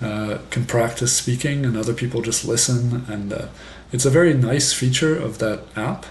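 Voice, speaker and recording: A man speaks with fairly even intonation. There is noticeable background noise and audible room echo. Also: medium pitch for a man. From France. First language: French, bilingual with English. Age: 50s. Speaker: French professor and English teaching youtuber. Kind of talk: casual monologue introduction. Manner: slow, clear pace for learners; many fillers and hesitations.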